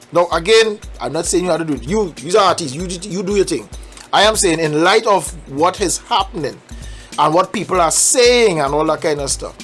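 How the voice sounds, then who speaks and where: Music plays in the background as a speaker with a Trinidadian accent talks at a fairly quick pace in an animated tone. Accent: Trinidadian Caribbean dialect. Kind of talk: opinion commentary to camera. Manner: animated, conversational.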